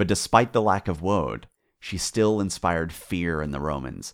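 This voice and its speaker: In a very deep, low pitch with vocal fry, a man speaks at a fairly slow pace in a dramatic tone with very wide pitch swings, on a very clean recording with a silent background. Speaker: podcast host. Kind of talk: scripted history narration, dramatic storytelling. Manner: dramatic, building intensity, measured and vivid.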